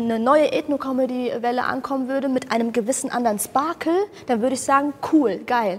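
A woman with a high voice talks fairly quickly over noticeable background noise. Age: 20s. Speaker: comedian. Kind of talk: casual chat. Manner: loud.

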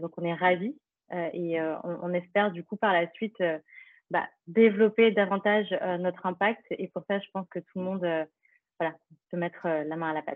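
Her medium-pitched voice moves at a moderate pace with fairly even intonation. The woman leaves long, frequent pauses. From France, eastern Paris. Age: 30s. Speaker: nonprofit founder. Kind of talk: interview. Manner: hesitant, many fillers.

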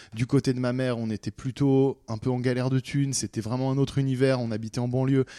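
A man talks at a very fast pace in a dark, mellow tone. His intonation stays monotone and flat. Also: medium pitch for a man, hardly any pauses. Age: 20s. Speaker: anonymous storyteller. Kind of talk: personal testimony. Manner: halting, with fillers and repetitions.

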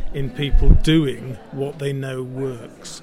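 A man with a Yorkshire accent speaks at a medium pitch, with audible room echo and noticeable background noise. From Yorkshire, England. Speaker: former health service chief executive. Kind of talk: interview. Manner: plain-spoken.

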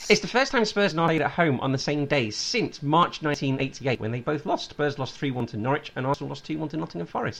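The speaker talks at a very fast pace with lively intonation. Noticeable background noise is present. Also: man. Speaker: podcast host. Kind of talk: casual sports chat.

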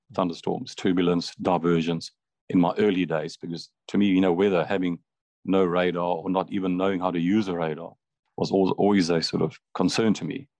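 Dry and close with no echo, a man's very deep, low voice moves at a fairly quick pace over a quiet background. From Zambia, Copperbelt. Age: 50s. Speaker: retired airline pilot. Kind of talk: interview.

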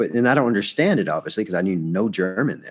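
A man talks at a very fast pace in a Southern US accent. His fairly low voice has lively intonation. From Alabama, US South. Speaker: stand-up comedian. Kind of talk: casual chat. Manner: repeats words, halting.

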